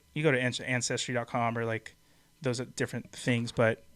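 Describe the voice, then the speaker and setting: A man with a plain, everyday voice, medium pitch and a fairly quick pace. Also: very clean recording, silent background. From USA, Mexican-American. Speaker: podcast co-host. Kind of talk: casual chat on live show. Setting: live-streamed podcast.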